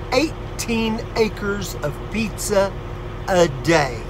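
A man's voice over noticeable background noise. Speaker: comedian. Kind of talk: comedic fun-fact pitchman delivering scripted one-liners with punchlines. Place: car. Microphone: phone near.

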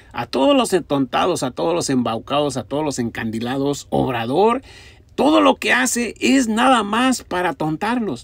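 With a Mexican accent, a man at a fairly high pitch talks at a moderate pace in an animated tone, with very wide pitch swings. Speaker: political commentator. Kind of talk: angry political rant, sarcastic and mocking. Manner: insulting, scornful, repetitive.

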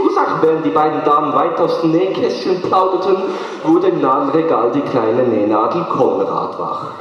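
At a moderate pace, a man speaks amid strong room echo. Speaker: slam poet. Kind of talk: poetry slam performance. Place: stage.

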